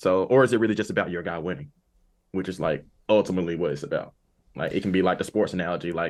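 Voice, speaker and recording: A man talks at a very fast pace with a very deep, low pitch. His pitch varies in an ordinary way against a quiet background. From Arkansas, US South. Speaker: camp director and podcast co-host. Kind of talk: casual chat.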